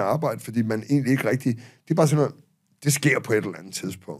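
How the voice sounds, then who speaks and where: Lively intonation from a man, set against a quiet background. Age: 50s. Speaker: author and public speaker; public speaker. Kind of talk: casual chat. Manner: halting. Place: studio. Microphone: studio mic.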